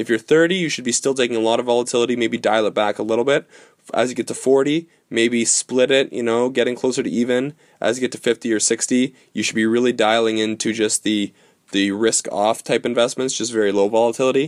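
A man with a normal speaking voice talks at a medium pitch and a fairly quick pace, his intonation fairly even. The sound is dry and close, with no echo. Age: 20s. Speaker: financial advisor. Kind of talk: solo podcast explainer.

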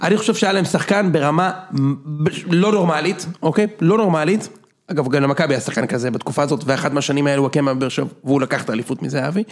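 Lively in intonation and fairly high in pitch, a man speaks at a very fast pace. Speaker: podcast host. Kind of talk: casual chat.

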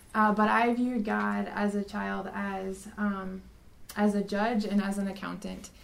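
With an American accent, a woman speaks at a medium pitch in a monotone, flat delivery. Her fairly slow speech carries audible room echo. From South Dakota, US. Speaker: religion teacher. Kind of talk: testimony.

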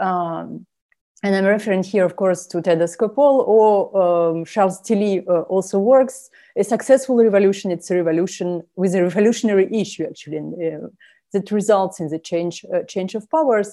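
At a moderate pace, a woman talks in a dark, mellow tone at medium pitch with ordinary pitch variation. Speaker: assistant professor. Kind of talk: academic discussion. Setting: video call.

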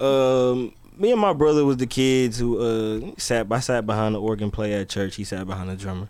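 A man at a medium pitch, ordinary pitch variation, moderate pace and hardly any pauses. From US South, Atlanta. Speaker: music producer. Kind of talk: casual chat.

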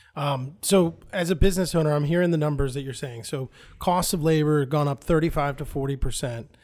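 Against a silent background in a very clean recording, a man with an unremarkable speaking voice talks at a fairly high pitch with fairly even intonation. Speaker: podcast co-host. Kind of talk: casual interview chat.

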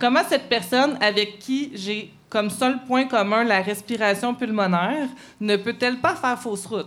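A woman speaks fairly slowly in a normal speaking voice. Her pitch is fairly high, with ordinary variation. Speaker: columnist. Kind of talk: live podcast chat; read-aloud editorial.

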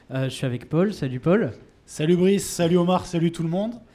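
On a very clean recording with a silent background, a man speaks in a dark, mellow tone with lively intonation. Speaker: podcast host. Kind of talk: live public interview. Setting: bar with live audience.

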